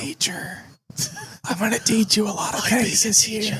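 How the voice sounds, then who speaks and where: In a put-on character voice, someone speaks softly at a moderate pace, raspy and fairly high in pitch. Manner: calm, gentle.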